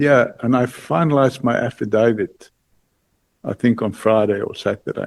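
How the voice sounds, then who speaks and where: A man talks at a medium pitch with lively intonation. His voice has vocal fry. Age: 70s. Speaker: witness at a parliamentary hearing. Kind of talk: testimony. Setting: committee hearing. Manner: halting.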